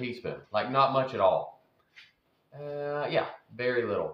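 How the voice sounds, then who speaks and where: A man speaks in a Southern US accent, with light background noise and audible room echo. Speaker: home food vlogger. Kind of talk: casual talk to camera. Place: kitchen. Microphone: phone near.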